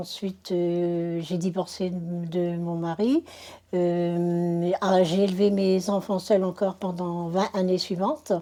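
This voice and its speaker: A woman at medium pitch with a dark, mellow tone, very slow. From northern France, Dunkirk area. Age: 60s. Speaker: convert giving testimony. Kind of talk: testimony. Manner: halting, many hesitations.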